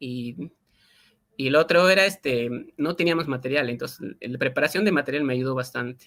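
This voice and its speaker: A man's bright, sharp voice with lively intonation at a moderate pace. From Peruvian Andes, Quechua-speaking area. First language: Quechua (speaking Spanish). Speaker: linguist and Quechua teacher. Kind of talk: interview. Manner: halting, many fillers.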